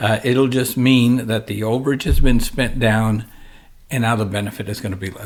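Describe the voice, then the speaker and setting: A man with an ordinary speaking voice at a medium pitch, ordinary pitch variation and a fairly quick pace, in a very clean recording with a silent background. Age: 60s. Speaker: financial advisor. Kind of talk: podcast discussion. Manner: conversational, with frequent self-corrections.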